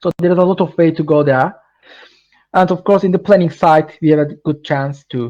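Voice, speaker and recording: Dark, mellow tone in a Turkish accent, at a moderate pace with fairly even intonation. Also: man, fairly high pitch for a man. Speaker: tech presenter. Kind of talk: webinar Q&A. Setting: online webinar. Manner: halting, many fillers.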